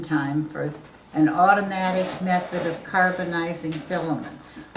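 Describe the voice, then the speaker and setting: A woman with an American accent, fairly low in pitch, flat and monotone, at a moderate pace, with noticeable background noise and audible room echo. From New Jersey. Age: 80s+. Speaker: interviewee. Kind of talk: family interview. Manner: halting.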